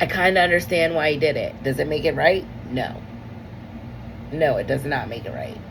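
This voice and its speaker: A woman speaks at a fairly quick pace in an animated tone, leaving long, frequent pauses. Audible room echo and noticeable background noise come through. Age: 30s. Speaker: comedian and podcast host. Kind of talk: solo podcast monologue. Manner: casual, animated.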